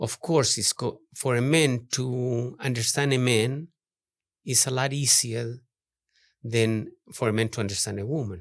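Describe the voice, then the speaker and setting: Fairly slow, fairly even speech with a non-native accent, on a very clean recording with a silent background. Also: man, medium pitch for a man. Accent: heavy non-native. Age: 60s. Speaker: artist. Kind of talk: podcast interview. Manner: halting.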